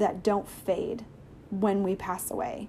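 A woman talks in a somewhat breathy voice. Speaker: podcast host. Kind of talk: casual monologue. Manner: hesitant with many fillers.

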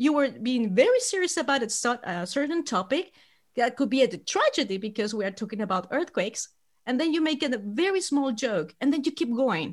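In a Chilean accent, a woman talks at a fairly quick pace and a high pitch, making very wide pitch swings. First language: Spanish. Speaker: podcast host and tour guide. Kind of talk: podcast interview. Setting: remote call.

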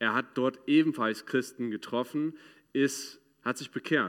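A man with an English accent at a moderate pace, very cleanly recorded against a silent background. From United States. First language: English (speaking German). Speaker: ministry speaker. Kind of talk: sermon. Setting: church.

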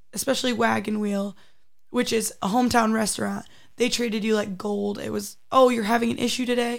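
At a moderate pace, a woman with a fairly high pitch speaks in a monotone with flat intonation. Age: 20s. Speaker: college student athlete. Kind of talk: casual interview. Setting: studio.

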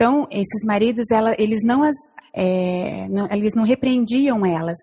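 Speaking at a fairly slow pace, a woman has a fairly high voice. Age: 40s. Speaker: church member, mother. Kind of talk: casual chat. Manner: halting.

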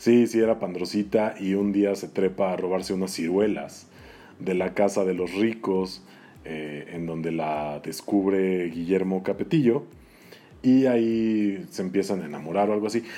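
Speaking at a fairly slow pace with a Mexican accent, a man uses a very deep, low pitch and a dark, mellow tone. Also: ordinary pitch variation. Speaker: toy collector. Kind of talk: casual chat.

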